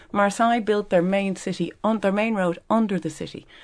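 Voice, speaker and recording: A woman speaks in a medium pitch with a Dublin accent. Her pitch varies in an ordinary way over a quiet background. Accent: Dublin Irish. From Ireland, Dublin. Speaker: business founder and exporters' association president. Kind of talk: radio panel discussion. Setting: radio studio.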